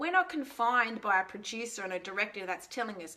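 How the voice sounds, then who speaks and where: This woman talks in a fairly high pitch with lively intonation and a bright, sharp tone. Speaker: online business coach. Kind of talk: webinar-style teaching talk. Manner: animated.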